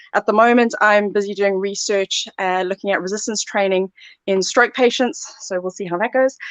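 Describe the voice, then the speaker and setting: A woman speaks with a South African accent at a moderate pace, her pitch varying in an ordinary way. The sound is dry and close, with no echo. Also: medium pitch for a woman. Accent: South African, noticeable. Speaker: sports therapy lecturer. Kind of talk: live Q&A.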